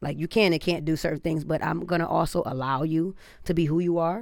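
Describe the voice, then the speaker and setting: A woman with an American accent speaks at a moderate pace in a very deep, low pitch with vocal fry. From Detroit, US Midwest. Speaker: barber. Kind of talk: casual chat.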